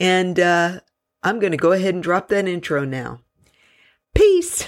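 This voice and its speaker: On a very clean recording with a silent background, a woman with an American accent speaks at a fairly low pitch with ordinary pitch variation. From US South. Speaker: podcast host. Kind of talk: casual monologue. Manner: animated.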